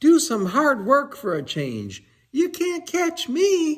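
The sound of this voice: A man's put-on character voice, extremely high-pitched and fairly bright, with very wide pitch swings at a slow pace.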